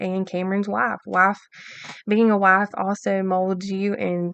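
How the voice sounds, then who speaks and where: This woman has an Alabama accent and a medium pitch. She speaks at a fairly slow pace. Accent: Southern US (Alabama). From US South, Alabama. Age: 20s. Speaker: podcast host. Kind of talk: casual monologue. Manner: many filler ums, halting.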